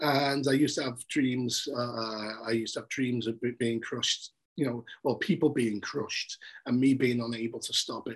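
A man speaks at a moderate pace with a Liverpool accent. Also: medium pitch for a man, fairly even intonation. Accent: Scouse (Liverpool). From Liverpool, England. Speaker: journalist. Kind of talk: casual interview.

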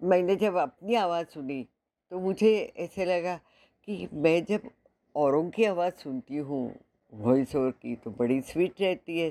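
A woman with a fairly low pitch and a dark, mellow tone, lively intonation and long, frequent pauses, on a very clean recording with a silent background. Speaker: actress, model and voice-over applicant. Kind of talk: self-introduction voice demo.

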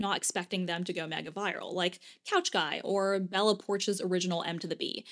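Fairly quick in pace, a woman speaks in an unremarkable speaking voice at medium pitch, in a very clean recording with a silent background. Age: 30s. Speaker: podcast host, former lawyer turned writer. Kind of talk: solo podcast monologue.

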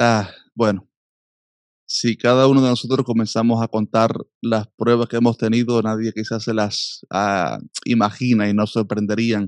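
A man with a medium pitch speaks at a fairly slow pace in a monotone, flat way, with a quiet background and a dry, close sound with no echo. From Cuba. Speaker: pastor and musician. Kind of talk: interview testimony.

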